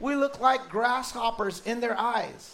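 Over noticeable background noise and audible room echo, a man talks in an animated tone. His pitch is extremely high, and his pace is fairly slow. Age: 40s. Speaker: pastor. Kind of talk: sermon.

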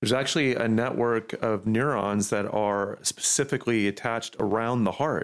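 At a moderate pace with hardly any pauses, a plain, everyday voice keeps fairly even intonation and very even loudness. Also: man, medium pitch for a man. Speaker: pastor. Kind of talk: casual chat.

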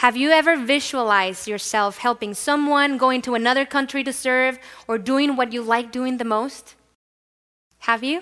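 Speaking at a moderate pace with a Spanish accent, a woman uses a high pitch and a bright, sharp tone, her intonation fairly even. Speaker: pastor. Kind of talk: sermon. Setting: church.

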